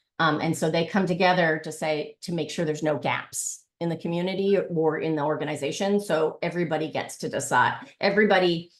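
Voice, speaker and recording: Against a quiet background, a woman speaks at a fairly low pitch. Her pace is fairly quick and her intonation fairly even. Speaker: workshop facilitator and lecturer. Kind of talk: online workshop presentation. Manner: hesitant, many fillers.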